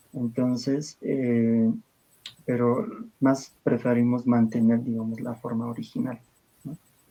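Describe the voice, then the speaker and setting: Dark, mellow male voice with an Andean accent. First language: Aymara (speaking Spanish). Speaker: liturgical language expert. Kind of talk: interview.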